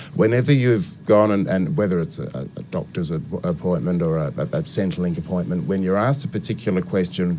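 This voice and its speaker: In a South Australian accent, a man with a very deep, low pitch and a dark, mellow tone talks at a fairly quick pace with very wide pitch swings and hardly any pauses. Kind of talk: radio interview. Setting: radio studio.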